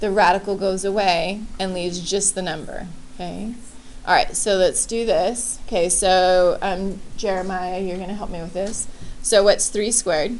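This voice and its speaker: Audible room echo surrounds a woman's medium-pitched voice. She talks at a moderate pace with fairly even intonation. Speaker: high school math teacher. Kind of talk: classroom lecture. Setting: classroom with students.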